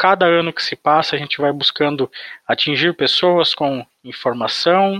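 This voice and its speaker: Bright and sharp in tone, a man speaks at a fairly high pitch with ordinary pitch variation. His pace is fairly slow, and the sound is dry and close with no echo. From Brazilian interior. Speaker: psychologist. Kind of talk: podcast interview.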